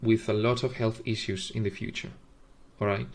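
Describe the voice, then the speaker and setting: Heard in a very clean recording with a silent background, a man with a non-native accent speaks at medium pitch in a monotone, flat intonation. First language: not English. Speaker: formula reviewer, video host. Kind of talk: tutorial. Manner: halting, many fillers.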